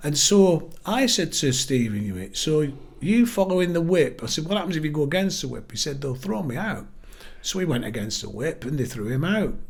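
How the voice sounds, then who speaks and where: Speaking fairly quickly with a northern English accent, a man uses a fairly high pitch and very wide pitch swings. Room echo is audible. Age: 60s. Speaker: local party chair. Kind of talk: podcast interview.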